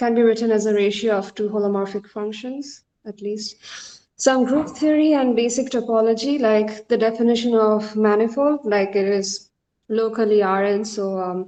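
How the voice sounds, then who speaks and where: A woman speaks with a fairly high voice at a moderate pace. The background is quiet. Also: fairly even intonation. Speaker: mathematics student lecturer. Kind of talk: lecture. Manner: soft-spoken; hesitant, many fillers.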